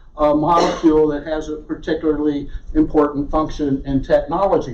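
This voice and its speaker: Speaking in a monotone, flat intonation, a man with a fairly high pitch and a Southern US accent is heard with audible room echo. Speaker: research geologist. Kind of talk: lecture.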